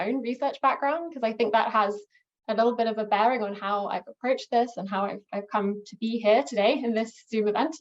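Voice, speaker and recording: A woman with an English accent and a fairly high voice talks at a fairly quick pace, her pitch varying in an ordinary way. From England. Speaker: archaeologist and historian. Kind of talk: academic presentation. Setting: video call. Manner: hesitant, many fillers.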